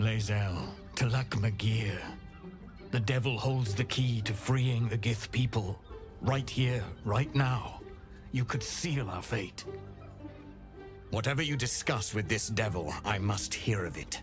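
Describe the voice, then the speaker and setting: Clear music plays behind a man doing a put-on character voice. His pitch is medium and his pace fairly slow. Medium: game stream. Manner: intense, urgent.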